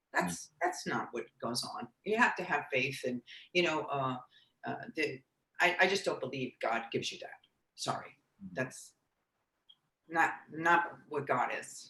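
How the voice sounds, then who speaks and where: A woman talks fairly slowly, stopping often for long pauses. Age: 60s. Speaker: breast cancer survivor and bikini bodybuilding competitor. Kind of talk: interview answer.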